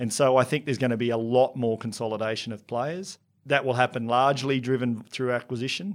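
Speaking at a fairly quick pace with an Australian accent, a man has a medium pitch and ordinary pitch variation on a very clean recording with a silent background. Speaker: business technology consultant. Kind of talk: interview.

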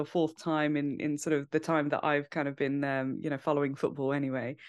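A woman speaks with a British accent. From UK. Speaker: fantasy football content creator. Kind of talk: podcast interview.

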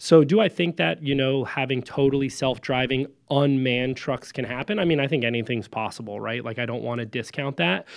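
Moving at a fairly quick pace, a man with an ordinary speaking voice talks at a medium pitch with ordinary pitch variation. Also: hardly any pauses. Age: 30s. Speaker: trucking company founder. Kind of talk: interview.

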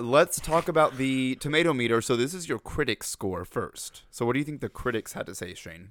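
A man in a normal speaking voice talks at a fairly quick pace with medium pitch, lively intonation and big swings in loudness, in a dry, close sound with no echo and a very clean recording with a silent background. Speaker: podcast co-host. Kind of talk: casual chat.

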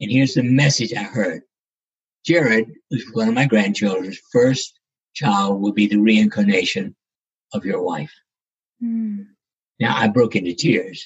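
A man with an American accent talks at a fairly slow pace in a medium pitch, with ordinary pitch variation. He sounds somewhat breathy and leaves long, frequent pauses. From US South, South Carolina. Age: 80s+. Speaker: neurosurgeon and author. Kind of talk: interview, storytelling. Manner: halting, repeats words.

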